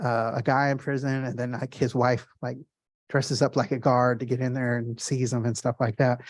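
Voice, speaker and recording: At a fairly quick pace, a man speaks at a medium pitch. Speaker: artist, formerly incarcerated. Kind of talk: gallery art talk. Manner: fast; animated.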